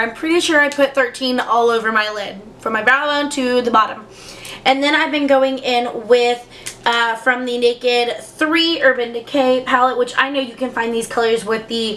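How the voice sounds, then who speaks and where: A woman's high, raised and projected voice at a moderate pace, with noticeable background noise. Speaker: beauty youtuber. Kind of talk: casual product review chat. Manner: hesitant, many fillers.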